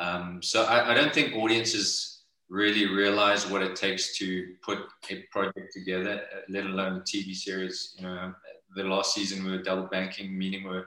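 In a South African accent, a man with a very deep, low voice and a bright, sharp tone speaks at a moderate pace in a monotone, flat delivery. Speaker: actor. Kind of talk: casual interview chat. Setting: video call.

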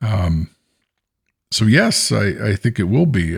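Somewhat breathy, with an American accent, the voice speaks at a fairly slow pace with a dry, close sound, no echo, and a very clean recording with a silent background. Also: man. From San Francisco Bay Area. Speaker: podcast co-host, former teacher. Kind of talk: casual chat.

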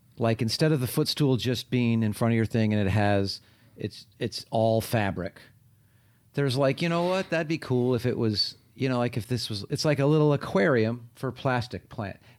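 Here a man uses a normal speaking voice with an American accent. He keeps a moderate pace and ordinary pitch variation. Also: medium pitch for a man. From North Carolina. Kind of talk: casual chat. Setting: video call.

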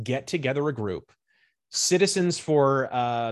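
Against a quiet background, a man with an American accent uses a normal speaking voice at a medium pitch with lively intonation. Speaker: political and pop culture commentator. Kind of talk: casual interview chat.

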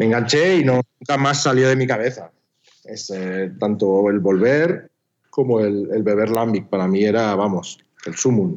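The delivery comes at a fairly slow pace with lively intonation. It is an ordinary speaking voice. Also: man, medium pitch for a man. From northern Spain (Pamplona, Navarre). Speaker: documentary filmmaker. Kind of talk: interview conversation.

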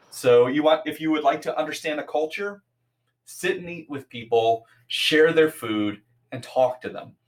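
This is an ordinary speaking voice: a man with an American accent and fairly high pitch, talking at a moderate pace. His pitch varies in an ordinary way, while his loudness swings widely. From US Midwest, Chicago area. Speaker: game event organizer and mental health advocate. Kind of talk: casual interview conversation.

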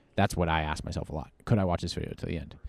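This man's voice has a dark, mellow tone. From Virginia, US. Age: 20s. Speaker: online preacher and social media creator. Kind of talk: interview. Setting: convention venue.

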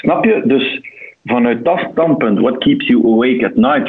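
Speaking at a fairly slow pace with an Antwerp accent, a man with a high pitch makes very wide pitch swings against noticeable background noise. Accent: Antwerp Flemish. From Belgium, Antwerp. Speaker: audit partner. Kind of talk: interview.

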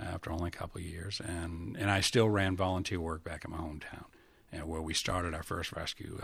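The delivery moves at a fairly quick pace. Intonation stays fairly even. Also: man. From Maine, US. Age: 70s. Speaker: retired fire marshal and academy director. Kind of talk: casual interview, storytelling. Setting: studio.

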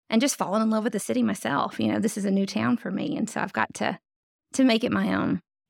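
A woman with a Southern US accent talks at a very fast pace. The recording is very clean, with a silent background. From North Louisiana. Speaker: downtown development director. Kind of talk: casual interview.

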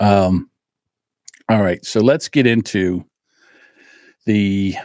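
The speaker talks with a New Jersey accent on a very clean recording with a silent background. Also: man, dry, close sound with no echo. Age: 60s. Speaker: podcast host. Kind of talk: casual monologue. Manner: animated.

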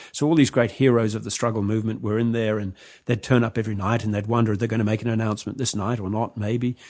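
Against a quiet background, someone talks at a very fast pace in a New Zealand accent. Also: man. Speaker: journalist and author. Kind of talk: interview.

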